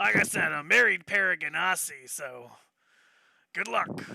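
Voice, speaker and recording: A man does a raspy, put-on character voice. He speaks at a moderate pace. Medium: actual play. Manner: rambling, folksy.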